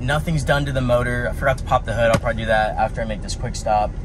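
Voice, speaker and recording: A man talks very fast. Noticeable background noise runs under him. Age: 20s. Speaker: YouTuber. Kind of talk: casual vlog. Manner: hesitant, many fillers. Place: car. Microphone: phone near.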